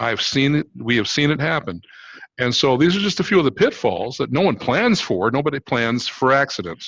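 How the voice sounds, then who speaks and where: A man's medium-pitched voice with vocal fry and very wide pitch swings. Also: moderate pace. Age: 60s. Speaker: fleet maintenance business owner. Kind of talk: video call panel discussion.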